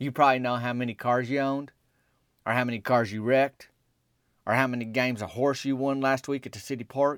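Recorded very cleanly against a silent background, a man with a Southern US accent speaks at a fairly quick pace, the sound dry and close with no echo. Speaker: podcast host and storyteller. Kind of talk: comedic storytelling monologue.

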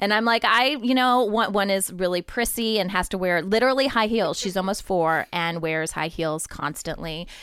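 Barely pausing, a woman with an American accent speaks in a normal speaking voice at a medium pitch with ordinary pitch variation, on a very clean recording with a silent background. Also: moderate pace. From Ohio, US Midwest. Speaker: podcast network founder. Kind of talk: casual interview.

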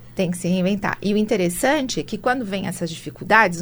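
A somewhat breathy woman speaks at a fairly quick pace. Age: 50s. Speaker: entrepreneur and international speaker. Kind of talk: interview.

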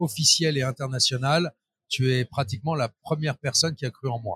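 A man speaks in a fairly high voice with fairly even intonation. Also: dry, close sound with no echo. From Paris suburbs, France. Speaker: trade show organizer. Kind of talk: interview. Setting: trade show floor. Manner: hesitant with repetitions.

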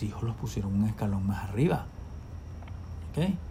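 A man with a Venezuelan accent, dark and mellow in tone, somewhat breathy, with lively intonation and audible room echo. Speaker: ophthalmologist and professor. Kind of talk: casual chat.

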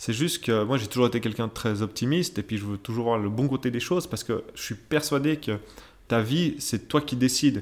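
This man talks at a fairly quick pace, with medium pitch and ordinary pitch variation, in a very clean recording with a silent background. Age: 30s. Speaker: podcast host's husband, father sharing fertility experience. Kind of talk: casual conversation, personal testimony. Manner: hesitant, filler-heavy.

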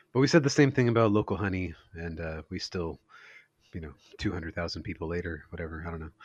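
A man's very deep, low voice with an American accent, lively intonation and big swings in loudness. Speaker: music podcast co-host. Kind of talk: casual chat. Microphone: connection cutting out, voice speeding up and slowing.

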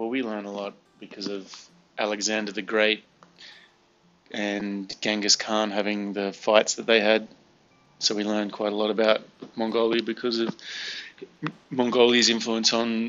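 Music in the background behind a man with an Australian accent, fairly low pitch, monotone, flat intonation, a moderate pace and long, frequent pauses. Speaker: cram school teacher. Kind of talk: casual chat.

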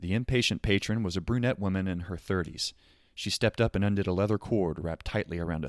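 A natural voice reading aloud, its pitch varying in an ordinary way.

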